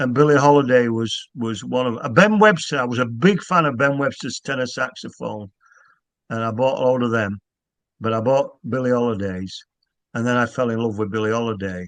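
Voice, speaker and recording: A man in a Yorkshire accent, medium pitch and ordinary pitch variation, at a fairly quick pace against a quiet background. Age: 60s. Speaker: author. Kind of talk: casual chat. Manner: halting.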